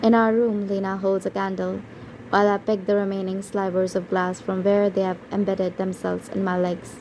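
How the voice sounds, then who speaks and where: Over noticeable background noise, a woman at a medium pitch speaks at a moderate pace with monotone, flat intonation. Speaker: audiobook narrator. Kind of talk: audiobook reading.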